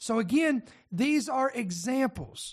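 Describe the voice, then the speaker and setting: A man with an American accent speaks at an extremely high pitch. His pace is fairly slow, over a quiet background. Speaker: podcast host. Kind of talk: prophecy-themed news commentary. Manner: animated, direct address.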